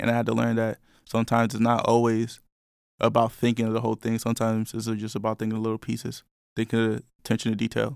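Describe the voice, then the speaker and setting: A man with an American accent at a very fast pace, monotone and flat, on a very clean recording with a silent background and a dry, close sound with no echo. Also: medium pitch for a man. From New York. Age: 20s. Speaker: podcast host. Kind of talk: casual chat. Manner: casual, filler-heavy.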